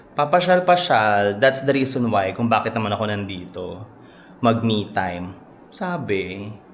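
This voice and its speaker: A man's fairly low-pitched voice with lively intonation and audible room echo. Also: fairly slow pace. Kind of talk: casual vlog. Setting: hotel room. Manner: deliberately quiet; animated.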